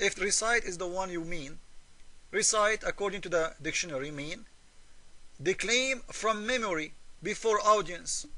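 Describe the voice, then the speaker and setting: Projecting a raised voice in an Arabic accent, a man with a high pitch and a bright, sharp tone speaks at a moderate pace. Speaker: religious polemic video maker. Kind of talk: argumentative commentary. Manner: halting.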